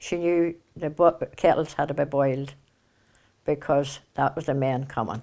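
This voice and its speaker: In a very clean recording with a silent background, a woman with a Northern Irish accent speaks at a fairly slow pace with long, frequent pauses, fairly even intonation, a dark, mellow tone and a very deep, low pitch. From Kilkeel, County Down, Northern Ireland. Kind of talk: oral history interview.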